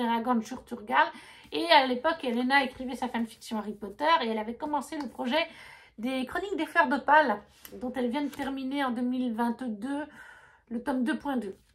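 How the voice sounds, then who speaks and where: Speaking at a moderate pace with a non-native accent, a woman uses a high pitch and ordinary pitch variation. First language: not French (speaking French). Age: 30s. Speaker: book vlogger. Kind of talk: casual chat. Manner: halting.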